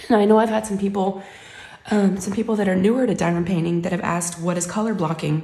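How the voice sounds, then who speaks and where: A woman speaks in a somewhat breathy voice. Her tone is dark and mellow, and her intonation is fairly even. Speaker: craft vlogger. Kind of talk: casual chat. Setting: home craft room. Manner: casual, friendly.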